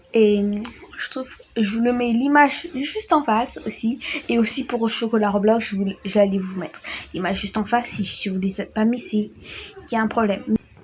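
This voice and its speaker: A woman with a fairly high pitch speaks with long, frequent pauses over noticeable background noise. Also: ordinary pitch variation, moderate pace. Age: 20s. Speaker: gaming YouTuber. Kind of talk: casual vlog talk to camera. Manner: hesitant, many fillers.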